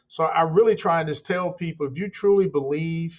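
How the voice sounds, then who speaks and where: Speaking at a moderate pace, a man uses a plain, everyday voice with a fairly high pitch and fairly even intonation. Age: 60s. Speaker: construction company owner. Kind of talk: interview. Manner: conversational, repeats words.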